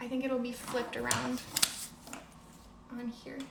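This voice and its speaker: A woman speaks at a high pitch with monotone, flat intonation. There is audible room echo and noticeable background noise. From Canada, Toronto. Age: 20s. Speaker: bullet journal artist and student. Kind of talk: live stream craft workshop.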